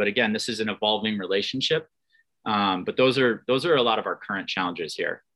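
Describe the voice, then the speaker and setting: This is a man with a plain, everyday voice. His pitch variation is ordinary. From upstate New York, Adirondacks. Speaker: former Olympic athlete, sports executive. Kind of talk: interview.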